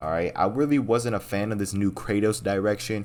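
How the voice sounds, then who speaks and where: A man speaks in a plain, everyday voice at a medium pitch, with ordinary pitch variation and a moderate pace. The recording is very clean, with a silent background. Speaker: gaming youtuber. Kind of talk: casual game commentary. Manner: casual, profane, filler-heavy.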